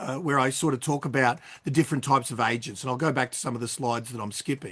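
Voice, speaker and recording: This is a man with an Australian accent. He talks at a fairly high pitch. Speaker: real estate trainer. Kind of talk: webinar conversation. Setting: video call. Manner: casual, halting.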